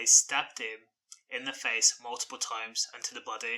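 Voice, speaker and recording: His pace runs fairly quick. The man talks in a British accent. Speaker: crime news commentator. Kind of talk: news commentary. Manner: monotone.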